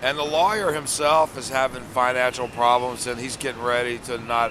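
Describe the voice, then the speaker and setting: Noticeable background noise sits behind a man with an American accent. He talks at a fairly quick pace and medium pitch, with ordinary pitch variation. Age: 60s. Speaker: war veteran. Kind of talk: street interview.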